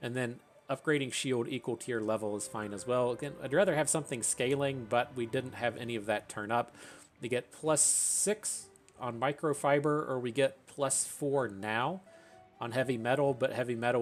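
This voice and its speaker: With music playing behind him, a man of medium pitch speaks at an average tempo, his intonation rising and falling normally. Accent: American. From Appalachia, US. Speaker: gaming YouTuber. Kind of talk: gameplay commentary. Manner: halting, many fillers.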